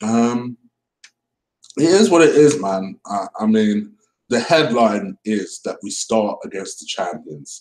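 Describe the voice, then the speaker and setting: A man's medium-pitched voice in an English accent, very slow, with very wide pitch swings and big swings in loudness. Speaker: football fan vlogger. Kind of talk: casual reaction commentary. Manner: casual, hesitant with fillers.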